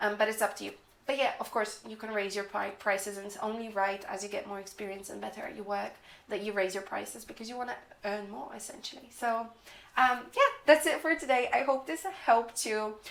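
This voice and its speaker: A woman speaks at a fairly quick pace with a fairly high pitch, ordinary pitch variation and big swings in loudness, over noticeable background noise. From moved to England at about ten or eleven. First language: not English. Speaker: freelance copywriter and YouTuber. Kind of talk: tutorial. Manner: casual, chatty with fillers.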